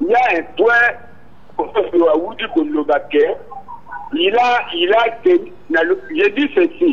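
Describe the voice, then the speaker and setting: Against noticeable background noise, a man speaks very slowly with long, frequent pauses. His pitch is extremely high and swings very widely. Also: very even loudness. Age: 70s. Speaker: caller. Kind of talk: call-in comment.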